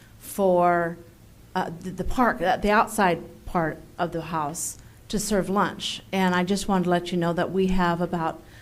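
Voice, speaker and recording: A woman's medium-pitched voice at a fairly slow pace, fairly even intonation, and audible room echo. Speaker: lunch program coordinator. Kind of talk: public comment at council meeting. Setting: city council meeting. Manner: halting.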